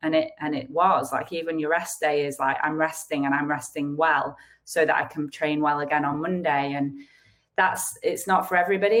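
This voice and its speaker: In a northern English accent, a woman speaks with a very deep, low pitch. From northern England. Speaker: retired professional squash player, author. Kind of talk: interview. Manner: halting, many restarts.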